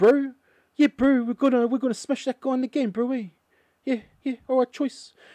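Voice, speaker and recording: In a put-on character voice with a New Zealand accent, a female-sounding voice speaks at a high pitch and moderate pace with long, frequent pauses, in a very clean recording with a silent background. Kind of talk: casual slangy bro talk. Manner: laid-back.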